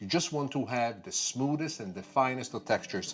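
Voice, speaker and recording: Speaking with a Sicilian accent, a man talks at a fairly quick pace and a fairly high pitch. The recording is very clean, with a silent background. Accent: Italian (Sicilian) accent in English. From Sicily, Palermo. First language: Italian. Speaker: TV chef. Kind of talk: cooking demonstration.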